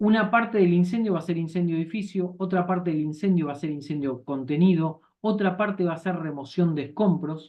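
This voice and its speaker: Hardly pausing, the speaker keeps up a fairly quick rate. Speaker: insurance course instructor. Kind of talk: lecture. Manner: fast.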